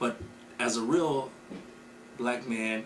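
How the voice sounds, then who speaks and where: A man with an American accent talks at a medium pitch. Noticeable background noise and audible room echo are present. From US Midwest, Racine, Wisconsin. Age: 30s. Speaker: keynote speaker, community member. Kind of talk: interview. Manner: halting, many fillers and repeats.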